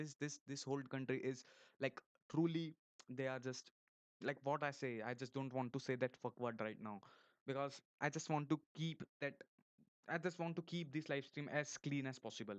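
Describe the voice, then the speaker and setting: Speaking at a moderate pace with long, frequent pauses, a man with an Indian accent has a fairly high pitch and fairly even intonation in a dry, close sound with no echo. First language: Hindi. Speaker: YouTuber. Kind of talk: live stream monologue. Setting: live stream. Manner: halting, with many repetitions and false starts.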